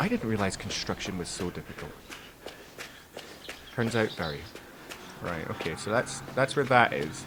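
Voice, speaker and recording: Over noticeable background noise, a man with a Scottish accent speaks at a moderate pace with fairly low pitch, lively intonation and long, frequent pauses. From Scotland. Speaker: gamer. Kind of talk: casual let's play commentary.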